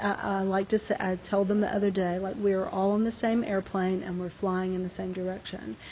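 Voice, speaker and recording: Fairly quick speech with an Alabama accent, flat, monotone intonation and hardly any pauses. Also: woman, medium pitch for a woman. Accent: Southern US (Alabama). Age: 50s. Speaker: fashion designer and business owner. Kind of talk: lecture Q&A. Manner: halting.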